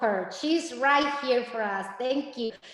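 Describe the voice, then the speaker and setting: Speaking with a Spanish accent, a woman talks at a fairly slow pace. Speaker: Spanish teacher. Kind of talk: informational meeting presentation. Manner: animated; halting.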